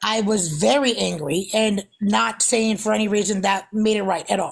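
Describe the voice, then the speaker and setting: At a moderate pace, a woman talks at medium pitch with ordinary pitch variation and very even loudness. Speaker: livestreamer. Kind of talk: casual chat.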